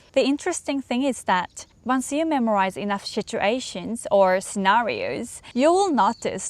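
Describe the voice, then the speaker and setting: A woman's fairly slow, lively-intoned delivery in a Japanese accent. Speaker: English learning vlogger. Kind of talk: casual talk to camera.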